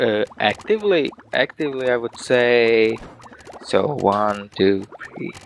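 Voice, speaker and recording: A man of medium pitch with a slight Russian accent speaks at a fairly slow pace, with long, frequent pauses, ordinary pitch variation, and noticeable background noise. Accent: sounds a bit Russian. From Latvia. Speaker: game studio marketing person. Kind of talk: interview.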